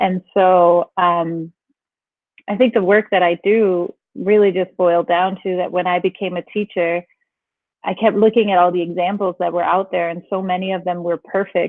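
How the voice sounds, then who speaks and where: A woman with a Danish accent at a moderate pace, medium pitch and monotone, flat intonation. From Denmark. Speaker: teacher. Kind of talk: interview.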